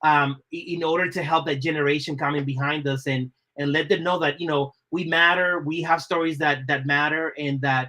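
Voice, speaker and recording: A man with an American accent, fairly high-pitched, bright and sharp in tone, at a fairly quick pace. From Dominican Republic, raised Boston area US. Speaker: designer. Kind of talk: podcast interview.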